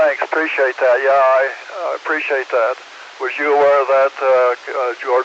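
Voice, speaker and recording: Someone with an American accent speaks in a monotone, flat intonation over noticeable background noise. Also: man, medium pitch for a man, moderate pace. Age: 80s+. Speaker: former civil defense director, ham radio operator. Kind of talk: radio net conversation.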